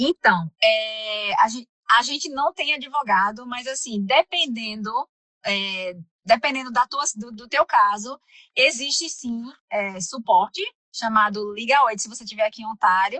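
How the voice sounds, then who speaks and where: A woman's fairly slow speech in a Recife accent, fairly high in pitch, with lively intonation and big swings in loudness. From Brazil, Recife (Pernambuco). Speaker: immigrant community center counselor. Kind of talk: podcast interview. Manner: halting, many fillers and restarts.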